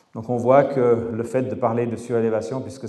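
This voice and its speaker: There is audible room echo as a man with a Swiss accent, a medium pitch and a dark, mellow tone speaks at a moderate pace in a monotone, flat intonation. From French-speaking Switzerland. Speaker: architect and engineer, lecturer. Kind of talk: lecture.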